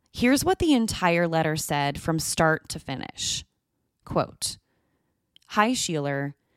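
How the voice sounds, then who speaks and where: A woman with a normal speaking voice, pitched fairly low, talks at a fairly slow pace with lively intonation, on a very clean recording with a silent background and a dry, close sound with no echo. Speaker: true crime podcast host. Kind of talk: true-crime narration, scripted and read aloud. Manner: measured, grave, steady storytelling pace; serious, suspenseful, even-toned.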